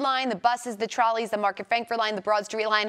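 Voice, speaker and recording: In an upbeat tone, a woman with an American accent speaks fairly quickly at a fairly high pitch amid noticeable background noise. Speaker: news anchor and reporter. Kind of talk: morning show banter and segment intros. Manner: friendly, conversational, upbeat.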